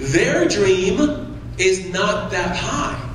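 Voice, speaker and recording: A man's voice comes through with light background noise and an audible echo from the room. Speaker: motivational speaker. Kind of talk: motivational speech. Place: hall. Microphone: pa.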